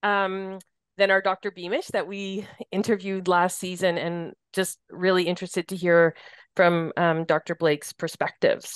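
In a Canadian accent, the speaker keeps a monotone, flat intonation at a moderate pace, with a dry, close sound, no echo and a quiet background. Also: woman, medium pitch for a woman. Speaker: podcast host, hospice staff. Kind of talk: podcast interview. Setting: studio.

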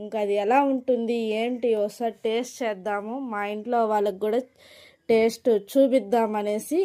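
A woman speaks in a high voice with ordinary pitch variation, recorded very cleanly against a silent background. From Chittoor district, Andhra Pradesh (Rayalaseema), India. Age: 30s. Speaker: village vlogger. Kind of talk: voice-over narration for a cooking vlog. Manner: casual, hesitant with fillers.

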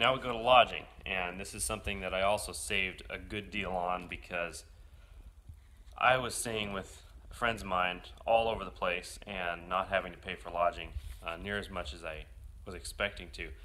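A man speaks with a bright, sharp tone at a fairly low pitch, his pitch rising and falling in an ordinary way. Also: moderate pace. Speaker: motorcycle traveler vlogger. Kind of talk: casual vlog chat. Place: home room. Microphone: phone near.

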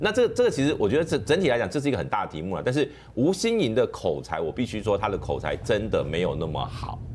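A man speaks very fast with hardly any pauses over light background noise. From Taiwan. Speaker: political commentator. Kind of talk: political commentary. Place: studio.

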